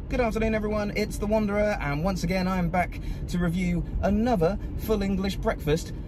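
At a fairly quick pace, a man talks through noticeable background noise. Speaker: food vlogger. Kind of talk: casual vlog chat. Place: car. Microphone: phone near.

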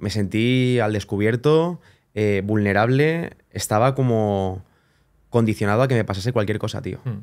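A man with ordinary pitch variation over a quiet background. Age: 20s. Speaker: wedding photographer; podcast guest. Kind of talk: casual chat. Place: studio. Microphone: studio mic.

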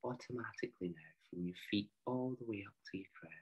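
Against a quiet background, a man has an ordinary speaking voice. He keeps a moderate pace with ordinary pitch variation. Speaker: meditation guide. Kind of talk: guided meditation. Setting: online video. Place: home room. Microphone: video call.

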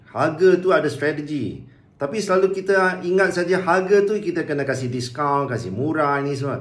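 With audible room echo, a man talks at a moderate pace in a fairly high pitch with ordinary pitch variation. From Malaysia. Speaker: business coach. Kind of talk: tutorial. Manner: casual, halting with fillers. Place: home room. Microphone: phone near.

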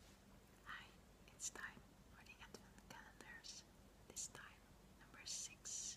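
A whispered voice moves at a very slow pace. Long pauses come often. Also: woman. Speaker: ASMR creator. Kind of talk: ASMR whisper video. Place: home room. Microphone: phone near.

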